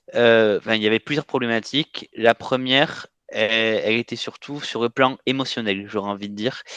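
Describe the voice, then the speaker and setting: This man speaks in a southwestern French accent. His pitch is medium and his intonation fairly even. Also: moderate pace. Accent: southwest French. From southwest France. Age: 20s. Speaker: coaching client. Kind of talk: testimony interview. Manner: hesitant, many fillers.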